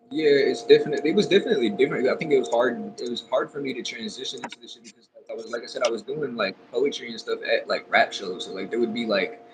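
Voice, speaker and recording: A man with an American accent talks at a very fast pace with hardly any pauses while music plays in the background. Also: big swings in loudness. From Texas. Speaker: rapper. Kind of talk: interview.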